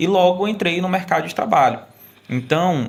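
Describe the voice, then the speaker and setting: This man speaks at a high pitch. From Maranhão interior, Brazil. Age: 20s. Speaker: state youth employment program coordinator. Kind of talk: podcast conversation.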